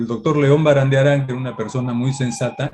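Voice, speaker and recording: A somewhat breathy man's voice at medium pitch. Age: 70s. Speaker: law professor. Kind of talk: Q&A at academic event. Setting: academic event.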